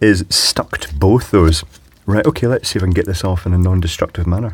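At a fairly quick pace, the voice has ordinary pitch variation, a slightly husky edge, and a slightly mellow tone. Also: man.

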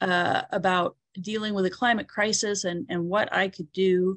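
Speaking with an American accent and fairly even intonation, a woman is heard over a quiet background in a dry sound with no echo. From Alabama, US (Birmingham suburb); Alabama. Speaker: gardener and teacher; teacher. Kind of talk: presentation. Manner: halting, many fillers. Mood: reflective, personal storytelling. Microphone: video call.

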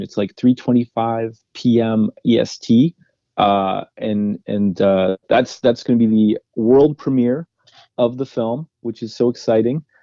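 Fairly even intonation and medium pitch in a man's voice, an unremarkable speaking voice. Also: fairly slow pace. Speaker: film director and writer. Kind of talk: casual interview chat. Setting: radio interview.

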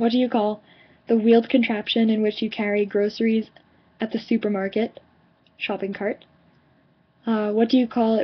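Someone with an American accent speaks at a moderate pace in a somewhat breathy voice, with monotone, flat intonation and long, frequent pauses. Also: woman. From New York suburbs. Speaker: vlogger. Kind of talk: casual talk to camera. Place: home room. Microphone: webcam.

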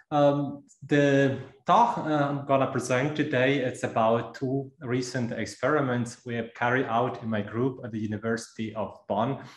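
A man at a fairly slow pace with fairly even intonation, audible room echo and a quiet background. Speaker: speaker. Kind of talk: lecture. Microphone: video call.

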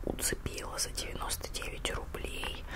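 A soft-spoken woman whispers at a moderate pace. Loud background noise surrounds her voice. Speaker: haul vlogger. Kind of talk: casual vlog chat. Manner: soft whisper while showing a jar. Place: home room. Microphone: handheld.

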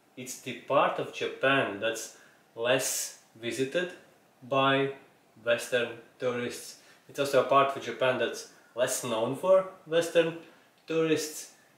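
A man talks very slowly, with audible room echo around his words. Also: ordinary pitch variation. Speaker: podcast host. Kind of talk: podcast intro talk. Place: home room.

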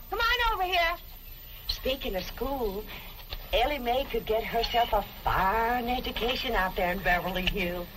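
Amid noticeable background noise, a woman talks at a moderate pace with a high pitch. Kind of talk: scripted sitcom dialogue.

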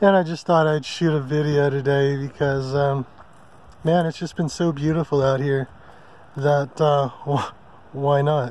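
A man with an American accent speaks fairly slowly in a flat monotone, with long, frequent pauses. His pitch is fairly high for a man, and the sound is dry with no echo. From California (San Diego); California. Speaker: RV travel vlogger. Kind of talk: casual vlog monologue. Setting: outdoors at a campsite in the forest. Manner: relaxed with many fillers (um, uh). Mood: relaxed, content. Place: open country. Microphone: phone near.

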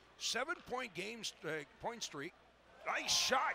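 A man speaks with very wide swings in pitch over noticeable background noise. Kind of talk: ice hockey play-by-play commentary. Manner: fast, clipped, animated play-by-play delivery.

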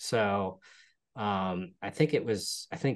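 This man speaks with a fairly low pitch. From Pennsylvania, Hershey; Pennsylvania. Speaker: real estate investor; guest. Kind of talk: interview. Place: home room. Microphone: video call.

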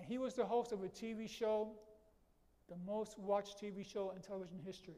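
A man with a New York accent talks at a fairly quick pace. His pitch is high and his intonation fairly even. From New York City, the Bronx. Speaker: lecturer. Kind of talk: lecture. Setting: auditorium with audience. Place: hall.

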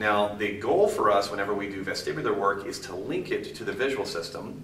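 A man talks amid light background noise, with room echo clearly audible. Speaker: movement and balance training instructor. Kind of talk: instructional video tutorial. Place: gym.

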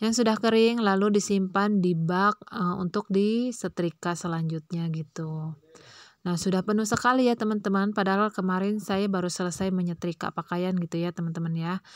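In a dry, close sound with no echo, a woman with an unremarkable speaking voice talks at a moderate pace and medium pitch. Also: fairly even intonation. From Indonesia, Pandeglang, Banten. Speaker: vlogger, housewife. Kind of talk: casual vlog narration. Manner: chatty, many fillers.

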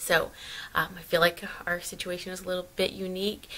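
The speaker is a woman. She talks at a moderate speed. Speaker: family vlogger. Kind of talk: casual vlog chat. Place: home room.

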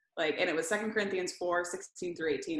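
A woman's voice carries audible room echo against a quiet background. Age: 30s. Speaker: ministry executive director, former college basketball player. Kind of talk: faith testimony interview. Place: home room. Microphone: video call.

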